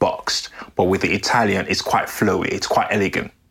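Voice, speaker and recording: There's noticeable background noise behind a man speaking. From Sierra Leone. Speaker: menswear creator and podcast host. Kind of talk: lifestyle vlog narration.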